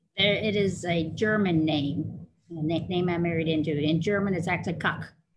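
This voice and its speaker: The woman's voice is fairly low in pitch, with fairly even intonation and a moderate pace. Room echo can be heard. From Louisville, Kentucky. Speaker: martial arts master instructor and nurse practitioner. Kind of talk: interview.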